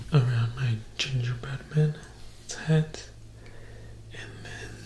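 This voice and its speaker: Light background noise with audible room echo. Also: man. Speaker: ASMR creator. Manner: soft close-mic ASMR whisper. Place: home room.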